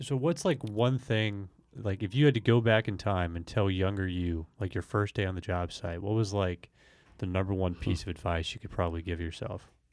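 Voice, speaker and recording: Heard in a very clean recording with a silent background, a man uses an unremarkable speaking voice at a fairly low pitch and moderate pace with ordinary pitch variation. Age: young. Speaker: company podcast host. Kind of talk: interview.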